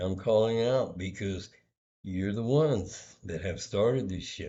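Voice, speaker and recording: A man speaks quietly at a fairly slow pace, his fairly low voice showing ordinary pitch variation. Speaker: vlogger. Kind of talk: personal vlog monologue. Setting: hotel room. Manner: kept quiet, low volume; hesitant, many fillers.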